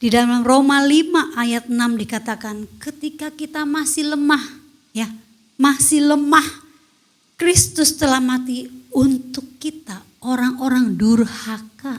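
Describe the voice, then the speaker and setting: At a very slow pace, a woman speaks in a high voice. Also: ordinary pitch variation. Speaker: women's fellowship preacher. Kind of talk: sermon. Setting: online church service. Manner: loud.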